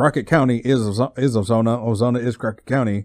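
Someone with an American accent speaks at a very fast pace with ordinary pitch variation, in a dry, close sound with no echo and a quiet background. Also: man. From West Texas. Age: 20s. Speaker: podcast host and sideshow performer. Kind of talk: casual solo monologue. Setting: lying in bed. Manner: halting.

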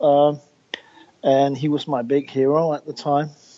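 A man with a Danish accent at a moderate pace and a fairly high pitch. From Denmark. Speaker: record producer. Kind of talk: interview.

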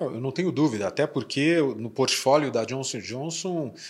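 The speaker talks at a fairly slow pace. The pitch varies in an ordinary way. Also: man. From Curitiba, southern Brazil. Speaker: podcast host, company president. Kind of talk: interview podcast.

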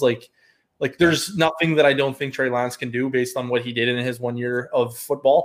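In a normal speaking voice, a man with a Canadian accent talks at a fairly quick pace with fairly even intonation. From Canada. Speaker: fantasy football analyst and accountant. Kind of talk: casual chat.

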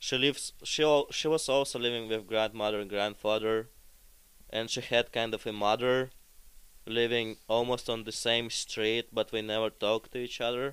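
On a very clean recording with a silent background, the speaker uses a Russian accent, monotone, flat intonation and a moderate pace. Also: man, medium pitch for a man. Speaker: podcast guest. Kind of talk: casual chat.

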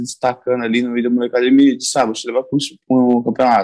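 A man speaks very fast at a medium pitch. His intonation stays fairly even. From São Paulo coast, Brazil (born in Bahia). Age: 20s. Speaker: jiu-jitsu athlete. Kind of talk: casual interview.

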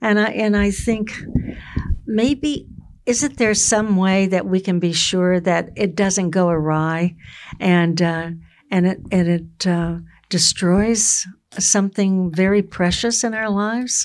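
A woman with an American accent at a medium pitch and a very slow pace, with ordinary pitch variation, in a very clean recording with a silent background. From US South (Florida). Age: 80s. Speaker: podcast host, retired teacher.

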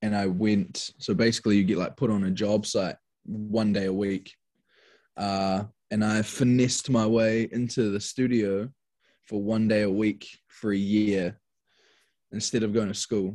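A man with a New Zealand accent speaks at a fairly slow pace with a fairly low pitch and a dark, mellow tone. His delivery is monotone and flat, on a very clean recording with a silent background. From New Zealand, Wellington (Tawa). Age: 20s. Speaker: hip hop artist. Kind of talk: casual chat.

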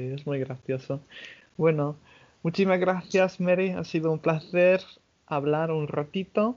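A man of fairly high pitch with ordinary pitch variation, at a fairly slow pace with long, frequent pauses. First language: English (speaking Spanish). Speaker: podcast host. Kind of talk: casual chat.

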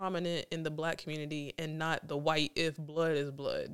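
A woman speaking at a moderate pace. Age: 40s. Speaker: podcast host. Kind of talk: casual interview; reading aloud a guest bio.

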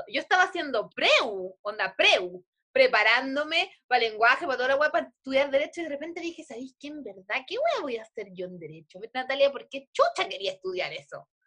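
A woman with a Chilean accent speaks in a raised, projected voice at a high pitch and a bright, sharp tone, with very wide pitch swings and big swings in loudness. Her pace is fairly quick, with hardly any pauses. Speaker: podcast co-host. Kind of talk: casual chat. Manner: animated.

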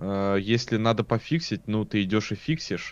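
A man speaks at a fairly slow pace and medium pitch. His is an unremarkable speaking voice. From Russia, St. Petersburg. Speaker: software developer streamer. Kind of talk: casual chat. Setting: live stream.

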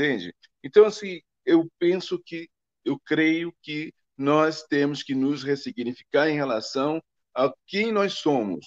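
Dry and close with no echo, a man's fairly high voice moves at a very slow pace with lively intonation. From Brazil. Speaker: ballet dancer and advertising figure. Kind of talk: interview. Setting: live stream. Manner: halting.

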